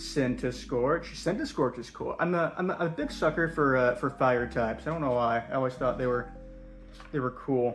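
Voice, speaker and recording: Music is playing in the background. A man talks over it at a moderate pace. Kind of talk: casual talk to camera. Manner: hesitant, rambling.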